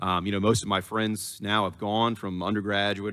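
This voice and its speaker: A man talks at a fairly low pitch. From Louisiana. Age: 30s. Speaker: politician. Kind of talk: political forum speech. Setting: university forum broadcast on radio.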